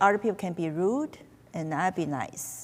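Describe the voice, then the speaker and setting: Here a woman speaks with a fairly low pitch. Her intonation is lively. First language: not English. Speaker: lawyer, former judge. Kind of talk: panel discussion. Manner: halting.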